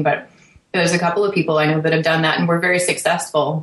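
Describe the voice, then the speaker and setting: With a Canadian accent, a woman speaks in a monotone, flat intonation at a fairly low pitch over noticeable background noise. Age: 30s. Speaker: triathlete, podcaster. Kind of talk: casual panel chat.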